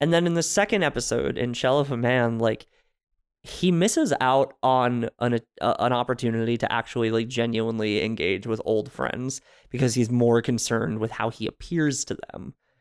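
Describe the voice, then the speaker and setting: In a very clean recording with a silent background, a man with an American accent speaks in an ordinary speaking voice at medium pitch, moderate pace, and ordinary pitch variation. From US Northeast, New Jersey. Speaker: podcast guest. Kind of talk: casual chat.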